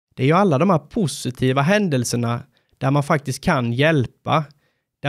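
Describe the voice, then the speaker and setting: In a very clean recording with a silent background and a dry, close sound with no echo, a man with an ordinary speaking voice talks at a moderate pace in a fairly high pitch. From Sweden, Småland (Sävsjö). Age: 30s. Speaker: firefighter and incident commander. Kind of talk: scripted narration.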